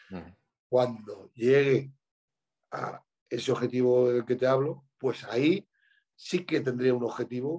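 A man talks at a fairly slow pace with ordinary pitch variation, leaving long, frequent pauses. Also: medium pitch for a man. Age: 30s. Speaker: bodybuilder and coach. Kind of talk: casual chat.

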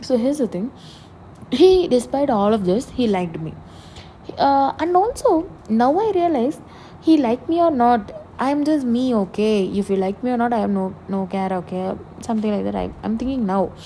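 At a moderate pace, a woman speaks with a dark, mellow tone, a fairly high pitch, and ordinary pitch variation.

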